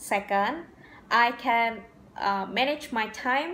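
A woman talks at a very slow pace in a fairly high voice. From Indonesia. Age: 20s. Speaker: job applicant. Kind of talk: scripted self-presentation. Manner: formal. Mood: polite, earnest. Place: home room. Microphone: phone near.

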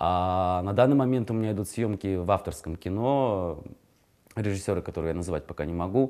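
Over a quiet background, a man speaks at a fairly quick pace with a dark, mellow tone, a fairly low pitch and ordinary pitch variation. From Kazakhstan. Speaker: actor. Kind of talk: interview. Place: studio. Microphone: lapel.

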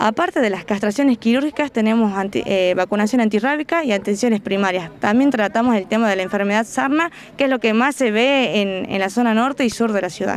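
A woman at a fairly quick pace, dry sound with no echo, and light background noise. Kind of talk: interview answer. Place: open country. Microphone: handheld.

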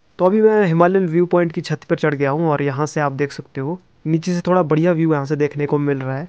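A man talks at a fairly quick pace with hardly any pauses and fairly even intonation, his voice dry with no echo against a quiet background. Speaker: travel vlogger. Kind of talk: casual vlog narration. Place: open country. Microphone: phone near.

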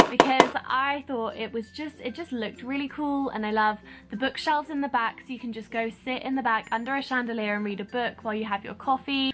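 Against noticeable background noise, a woman with a high pitch talks at a fairly quick pace with hardly any pauses. Her intonation is fairly even. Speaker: vlogger. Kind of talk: casual vlog review chat. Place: home room. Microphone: phone near.

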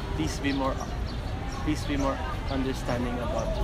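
A man speaks at a moderate pace while loud background noise fills the recording. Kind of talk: interview answer. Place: street.

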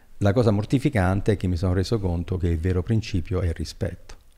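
With a dark, mellow tone, a man speaks at a very deep, low pitch and ordinary pitch variation. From Italy, Abruzzo. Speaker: economic development consultant; podcast guest. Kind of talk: long-form interview. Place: studio. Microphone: studio mic.

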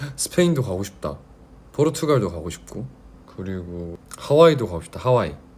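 A man speaks in a fairly low voice. His pitch swings very widely. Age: 20s. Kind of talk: casual livestream talk to fans.

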